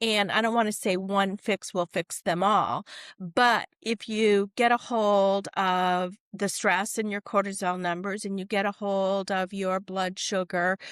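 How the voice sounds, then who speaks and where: With hardly any pauses, a woman talks at a fairly slow pace in a medium pitch with monotone, flat intonation, the sound dry and close with no echo. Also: very clean recording, silent background. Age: 60s. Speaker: corporate wellness coach. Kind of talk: podcast interview.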